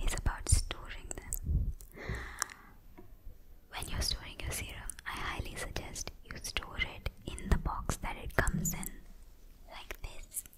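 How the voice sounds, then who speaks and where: A woman's breathy whispering at a very slow pace. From India. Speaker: skincare and beauty YouTuber. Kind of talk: ASMR skincare tips, whispered talk to camera. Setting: close mic, studio. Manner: soft-spoken, breathy whisper. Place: home room. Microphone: studio mic.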